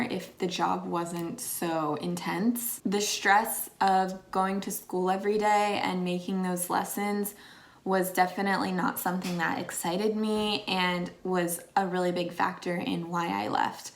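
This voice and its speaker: In a normal speaking voice, a woman talks at a fairly slow pace with hardly any pauses. Her pitch is medium and her intonation fairly even. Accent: American. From Pennsylvania, USA. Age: 20s. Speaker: former English teacher in Japan. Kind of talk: casual talk to camera.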